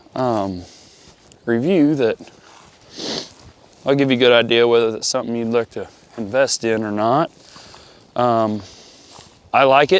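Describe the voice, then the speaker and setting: A man talks at a moderate pace with a medium pitch. He leaves long, frequent pauses, and there is noticeable background noise. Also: ordinary pitch variation. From US South / Midwest. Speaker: hunting gear reviewer. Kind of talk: product review vlog. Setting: outdoors, walking. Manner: casual, halting with fillers.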